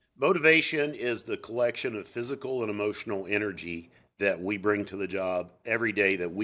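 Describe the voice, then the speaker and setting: This voice has a bright, sharp tone and a Southern US accent, with ordinary pitch variation at a moderate pace. The recording is very clean, with a silent background. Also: man. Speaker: sales psychology expert. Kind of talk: interview.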